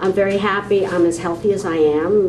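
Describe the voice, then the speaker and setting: There is noticeable background noise and audible room echo. A woman speaks at a medium pitch. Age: 70s. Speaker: interviewee on aging. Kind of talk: interview testimony.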